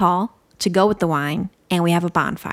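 A woman with an American accent and a plain, everyday voice, at a moderate pace with ordinary pitch variation. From Iowa. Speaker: podcast co-host. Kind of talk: casual chat.

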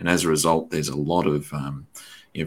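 The speaker talks at a fairly quick pace with an Australian accent. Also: man. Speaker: podcast host and teacher. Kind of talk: interview conversation.

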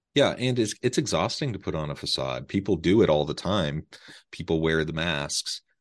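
Over a quiet background, a man with an American accent and a very deep, low pitch talks at a moderate pace with vocal fry and lively intonation. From Utah. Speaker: podcast host. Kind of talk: interview conversation. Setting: remote call.

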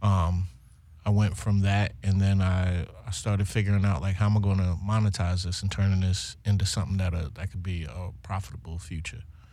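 A man speaks with a very deep, low pitch and a dark, mellow tone. His voice is somewhat breathy, with ordinary pitch variation. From Baltimore, West Side. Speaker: singer. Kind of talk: casual chat. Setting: studio. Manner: animated.

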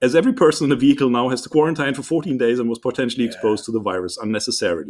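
Rushing at a very fast pace with hardly any pauses, a man speaks at medium pitch with ordinary pitch variation. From Germany. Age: 40s. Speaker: podcast host. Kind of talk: casual chat. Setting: video call.

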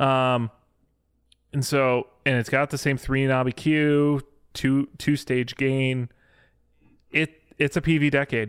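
A man speaks in a flat monotone at very even loudness, with a dry, close sound and no echo. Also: medium pitch for a man. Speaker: podcast host. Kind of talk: casual chat. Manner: fast talker.

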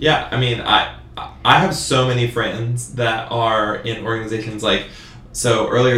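A man's medium-pitched, monotone voice with flat intonation, plus audible room echo and noticeable background noise. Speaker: student podcast co-host. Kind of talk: casual chat.

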